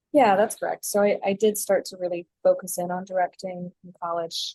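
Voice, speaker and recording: In an American accent, a woman with a medium pitch and a dark, mellow tone speaks with fairly even intonation, in a dry, close sound with no echo. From North Carolina, US (moved from California as a child). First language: Flemish. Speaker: theatre director. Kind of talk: casual interview.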